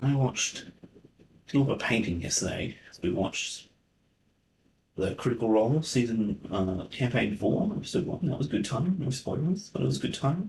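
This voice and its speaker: Somewhat breathy and at medium pitch, a man talks at a moderate pace with very wide pitch swings, very even loudness and long, frequent pauses. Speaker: wargaming channel host and event organiser. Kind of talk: casual chat. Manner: halting; whispering.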